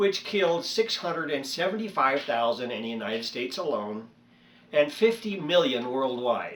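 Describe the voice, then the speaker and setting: Very wide pitch swings from a man, noticeable background noise behind him. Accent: American. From California. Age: 60s. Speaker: YouTuber, vlogger. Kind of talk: casual monologue rant. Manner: hesitant, many fillers.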